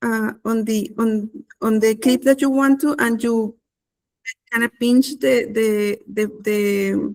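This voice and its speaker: With a non-native accent, the speaker goes at a very slow pace with fairly even intonation. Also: woman. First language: not English. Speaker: content creator. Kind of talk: webinar tutorial. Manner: halting, many fillers.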